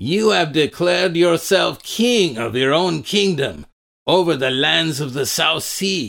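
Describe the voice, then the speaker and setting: A man puts on a raspy character voice, pitched fairly high, with lively intonation. He talks at a fairly slow pace. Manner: boastful, menacing.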